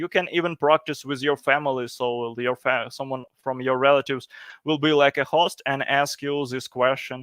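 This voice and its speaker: In a very clean recording with a silent background and a dry, close sound with no echo, a man with a fairly high pitch talks at a moderate pace in a monotone, flat intonation. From Ukraine. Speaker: conference speaker, product analyst. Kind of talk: conference presentation. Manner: halting, many fillers.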